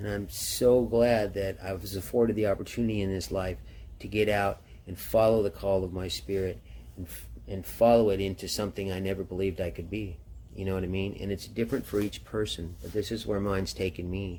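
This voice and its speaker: A dark, mellow, somewhat breathy tone. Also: man, fairly low pitch for a man, ordinary pitch variation, fairly quick pace. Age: 60s. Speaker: motorcycle traveler vlogger. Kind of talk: casual personal storytelling monologue. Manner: casual, halting with fillers.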